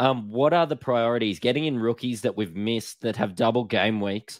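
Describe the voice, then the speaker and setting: Against a quiet background, a man speaks at a medium pitch with an Australian accent. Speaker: podcast host. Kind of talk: casual chat.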